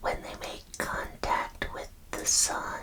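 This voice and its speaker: A whisper comes through over noticeable noise in the background. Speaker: ASMR content creator / vtuber. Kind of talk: ASMR whisper roleplay, deadpan false facts read to camera. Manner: whispered, soft-spoken.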